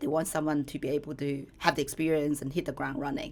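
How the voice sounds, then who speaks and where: A woman speaks with a Chinese accent. Her voice is very deep and low in pitch. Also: very clean recording, silent background. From China. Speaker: company co-founder. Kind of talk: podcast conversation.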